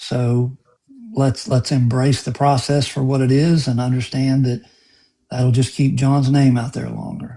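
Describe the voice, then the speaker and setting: This man talks at a fairly slow pace with a medium pitch and fairly even intonation. His tone is dark and mellow, and somewhat breathy. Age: 60s. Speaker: lawyer. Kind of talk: live stream interview.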